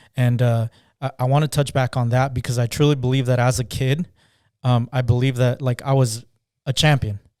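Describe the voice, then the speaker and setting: A man with a Spanish accent at a fairly quick pace in a monotone, flat intonation, with a dry, close sound, no echo and a very clean recording against a silent background. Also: medium pitch for a man. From Southern California (born Guatemala). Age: 30s. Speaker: business owner. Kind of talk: interview. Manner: halting.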